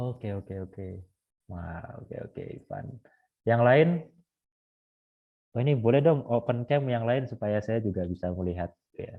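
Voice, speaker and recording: A man talks at medium pitch and a moderate pace, with ordinary pitch variation. His loudness swings widely, and he takes long, frequent pauses. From Bali, Indonesia. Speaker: Jesuit seminarian leading a Bible study. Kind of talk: online Bible study session.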